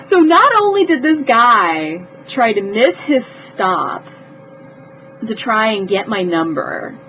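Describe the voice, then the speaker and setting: Speech moves at a very slow pace with very wide pitch swings over noticeable background noise. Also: woman. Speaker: vlogger telling personal stories. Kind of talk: storytelling vlog. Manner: animated, with repetitions.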